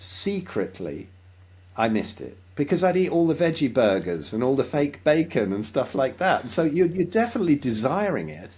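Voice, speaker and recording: In a very clean recording with a silent background, a man with a fairly high voice and vocal fry speaks at a moderate pace. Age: 60s. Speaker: health and diet advocate, musician. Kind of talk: interview. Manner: hesitant, repeats words.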